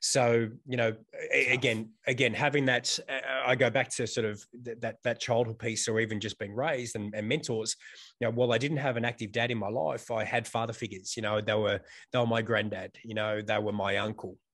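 A man with an Australian accent speaks at a medium pitch and a fairly quick pace. His intonation stays fairly even. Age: 40s. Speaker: fitness instructor and gym owner. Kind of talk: casual chat. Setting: video call.

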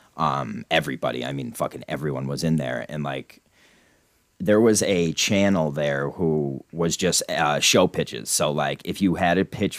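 A man with an American accent speaks at a very deep, low pitch with vocal fry and ordinary pitch variation. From Scranton, Pennsylvania. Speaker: podcaster, fan of the show's subject. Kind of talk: casual chat.

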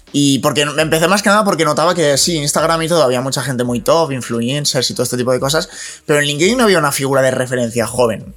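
A man's fairly high voice at a very fast pace, with ordinary pitch variation over noticeable background noise. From Spain, Alcoy (Alicante). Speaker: digital marketing specialist. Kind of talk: casual chat.

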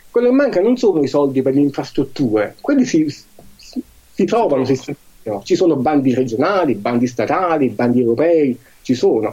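At a moderate pace, a man with a dark, mellow tone and fairly high pitch speaks with lively intonation, very even loudness, and long, frequent pauses. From Marcianise, Campania. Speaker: cycling advocacy association president. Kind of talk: interview.

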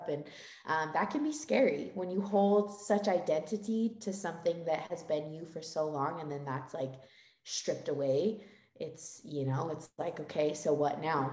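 A woman speaks at a fairly low pitch with an American accent, and the room echo is audible. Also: ordinary pitch variation, moderate pace. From Utah. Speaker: dancer. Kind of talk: casual chat.

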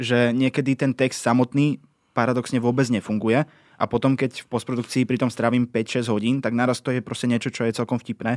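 Fairly quick, monotone delivery with flat intonation, in a dry, close sound with no echo and a very clean recording with a silent background. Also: man. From eastern Slovakia (Spiš). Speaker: podcast creator and scriptwriter. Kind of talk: casual chat.

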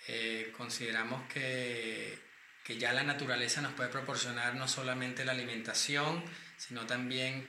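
At a moderate pace and medium pitch, a man speaks with fairly even intonation, with noticeable background noise and audible room echo. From Venezuela. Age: 40s. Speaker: cosmetics company founder and pharmacist. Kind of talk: interview.

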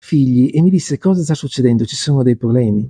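Speaking at a very fast pace, a man with a dark, mellow tone uses ordinary pitch variation, recorded dry and close with no echo against a quiet background. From Milan, northern Italy. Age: 50s. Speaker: author, crossdresser. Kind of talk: interview conversation. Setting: bookshop café.

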